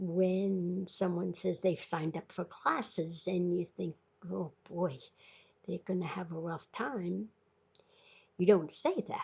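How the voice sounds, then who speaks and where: A woman with a fairly low pitch and ordinary pitch variation speaks at a very slow pace, somewhat breathy, with long, frequent pauses. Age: 80s+. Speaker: video blogger. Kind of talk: informal talk to camera. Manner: halting.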